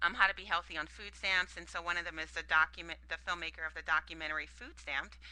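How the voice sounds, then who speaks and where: At a very fast pace with hardly any pauses, the voice has vocal fry, a bright, sharp tone, and fairly even intonation. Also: woman, fairly low pitch for a woman, big swings in loudness. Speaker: summit organizer and health speaker. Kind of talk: live webcast talk. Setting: live online stream. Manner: many fillers and hesitations.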